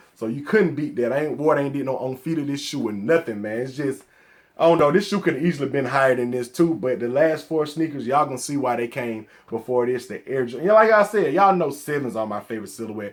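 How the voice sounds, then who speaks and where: A man with a Southern accent talks at a very fast pace and a fairly high pitch. His tone is animated and his intonation lively. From US South, Atlanta, Georgia. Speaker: sneaker collector YouTuber. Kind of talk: casual vlog talk to camera.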